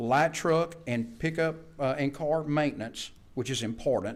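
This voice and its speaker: A man with a fairly high pitch talks at a moderate pace in an ordinary speaking voice, with ordinary pitch variation. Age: 60s. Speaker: vocational instructor. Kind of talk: board meeting presentation. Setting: public board meeting.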